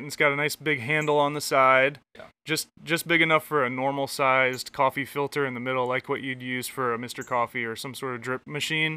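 In an American accent, a man with a fairly high pitch and an unremarkable speaking voice talks at a fairly quick pace with fairly even intonation and hardly any pauses, the sound dry and close with no echo. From Michigan. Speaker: podcast host. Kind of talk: casual chat. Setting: outdoors on a back porch.

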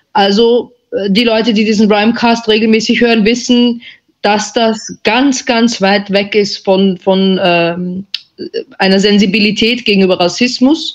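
This woman has a normal speaking voice, pitched fairly high. She talks at a fairly slow pace with fairly even intonation and very even loudness. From Austria. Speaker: journalist. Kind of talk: panel discussion.

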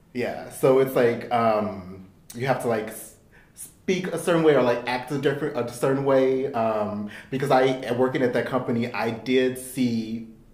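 There is noticeable background noise behind a man speaking with an American accent. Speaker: podcast co-host. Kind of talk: casual chat.

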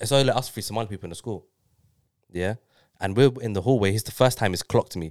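Dry and close with no echo, this very clean recording on a silent background has a man speaking at a very fast pace with fairly low pitch and ordinary pitch variation. He takes long, frequent pauses. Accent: London. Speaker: guest. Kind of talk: casual chat.

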